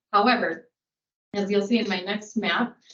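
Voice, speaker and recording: With a Minnesota accent, a woman speaks at a medium pitch and a moderate pace. Her intonation stays fairly even. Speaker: geologist presenting to a public board. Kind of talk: technical presentation at a public meeting.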